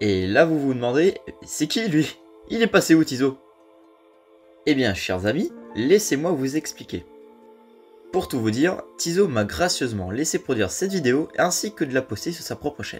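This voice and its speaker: Over music in the background, a man with a fairly high voice uses very wide pitch swings and takes long, frequent pauses. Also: moderate pace. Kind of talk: video essay narration.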